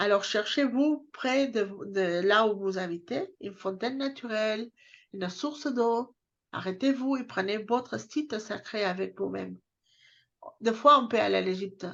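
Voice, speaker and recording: In a southern French accent, a woman speaks at a fairly slow pace and fairly high pitch against a quiet background. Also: ordinary pitch variation. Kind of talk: casual chat. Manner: halting.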